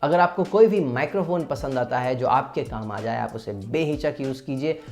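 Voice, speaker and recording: Music plays in the background as a man speaks at a moderate pace. His voice is fairly high with lively intonation. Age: 20s. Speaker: dubbing artist, poet and vlogger. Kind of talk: casual talk to camera. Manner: friendly, upbeat.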